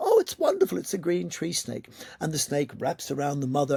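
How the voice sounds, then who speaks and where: Noticeable background noise accompanies a man speaking at a fairly quick pace with a fairly high pitch. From Malta. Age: 60s. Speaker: yoga teacher. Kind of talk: interview conversation.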